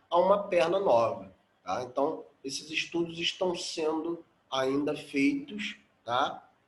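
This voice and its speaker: Audible room echo surrounds this man's voice. He has a high pitch and lively intonation. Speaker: biology teacher. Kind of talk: lecture.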